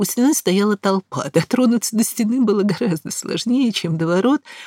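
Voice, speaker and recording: A woman with a Moscow accent speaks at a moderate pace with lively intonation, in a dry, close sound with no echo. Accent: Russian (Moscow). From Moscow, Russia. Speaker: historian lecturer. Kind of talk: lecture. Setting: studio.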